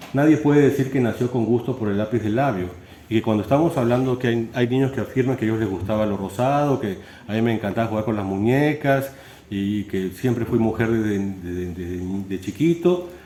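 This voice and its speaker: There is audible room echo as a man speaks fairly quickly with ordinary pitch variation. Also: medium pitch for a man. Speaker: philosophy lecturer. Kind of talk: lecture. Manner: fast, with stumbles and repetitions.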